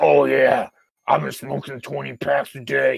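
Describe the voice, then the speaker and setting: Putting on a character voice, a man speaks at a moderate pace in a very deep, low pitch that is gravelly and raspy. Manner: jokey.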